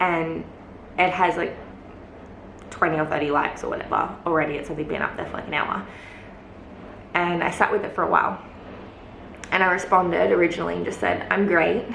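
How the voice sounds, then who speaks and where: A woman with a fairly low pitch talks at a fairly quick pace with fairly even intonation and long, frequent pauses. Noticeable background noise and audible room echo surround her. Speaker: lifestyle vlogger. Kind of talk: casual vlog talk. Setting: alone in a closed room at home. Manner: quieter than usual; hesitant, many fillers.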